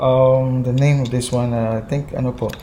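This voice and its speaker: The speaker has a strong Visayan accent. Noticeable background noise can be heard. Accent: thick Visayan accent in Tagalog. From Visayas, Philippines. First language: Visayan (Cebuano). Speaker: YouTuber. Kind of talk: casual vlog. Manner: halting, many fillers.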